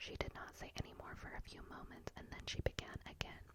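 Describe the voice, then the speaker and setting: Noticeable background noise fills the recording. Over it, a woman whispers. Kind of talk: whispered book reading for sleep. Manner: whispered, soft.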